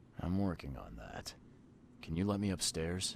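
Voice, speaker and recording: Over clear background noise, a man uses a put-on character voice at a very deep, low pitch, speaking at a moderate pace with lively intonation. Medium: video game. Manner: terse, weary.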